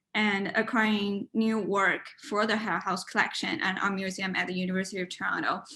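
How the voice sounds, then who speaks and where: Speaking at a moderate pace with a Chinese accent, a woman uses fairly even intonation and a bright, sharp tone. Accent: Mandarin Chinese. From China. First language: Mandarin. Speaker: university student and art committee chair. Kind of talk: interview; informal presentation. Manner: halting, with many fillers. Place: home room. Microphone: webcam.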